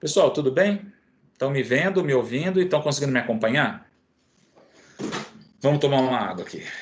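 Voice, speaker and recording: A man with a fairly high pitch uses lively intonation at a fairly quick pace, broken by long, frequent pauses and surrounded by audible room echo. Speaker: physiotherapy lecturer. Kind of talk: online lecture.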